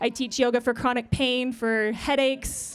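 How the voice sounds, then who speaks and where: Loud and high-pitched, a woman speaks at a fairly slow pace in a monotone, flat intonation. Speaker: yoga therapist. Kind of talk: public speech then guided yoga warm-up.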